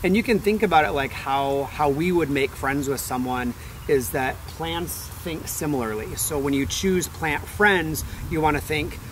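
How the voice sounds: A man talks at a moderate pace with few pauses, his pitch fairly high. Background noise is clearly audible. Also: ordinary pitch variation.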